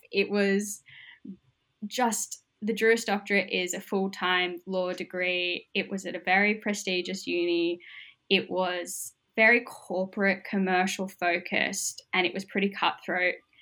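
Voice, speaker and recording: A woman with an Australian accent, medium-pitched and bright, sharp in tone, speaking at a fairly slow pace with monotone, flat intonation in a very clean recording with a silent background. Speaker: social work student. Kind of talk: interview.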